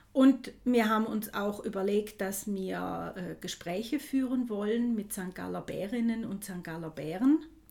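A woman's medium-pitched voice, with ordinary pitch variation, a fairly slow pace, and big swings in loudness. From St. Gallen, Switzerland. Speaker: podcast host. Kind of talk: casual chat.

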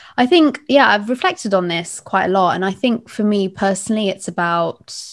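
Ordinary pitch variation in a London accent, on a very clean recording with a silent background. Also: woman. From London (East London). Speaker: podcast host. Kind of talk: interview conversation.

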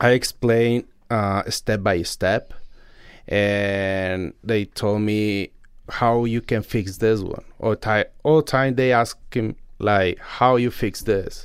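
On a very clean recording with a silent background, a man with a Mexican accent and a fairly low pitch talks at a very slow pace with fairly even intonation. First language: Spanish. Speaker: concrete contractor. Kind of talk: interview. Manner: halting.

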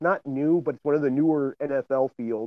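A man's plain, everyday voice, medium in pitch, with fairly even intonation. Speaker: football coach. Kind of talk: casual chat.

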